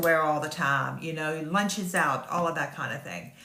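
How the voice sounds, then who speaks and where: A woman with an American accent speaks at a moderate pace in a fairly low voice and a flat monotone, with noticeable background noise and audible room echo. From US South. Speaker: online business marketer. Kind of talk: casual sales pitch talk to camera. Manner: hesitant, many fillers.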